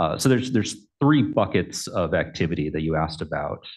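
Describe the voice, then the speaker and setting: A man at a fairly quick pace, ordinary pitch variation, and a quiet background. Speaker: election commissioner. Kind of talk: formal meeting questioning. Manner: halting, many fillers. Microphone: too quiet, far from the mic.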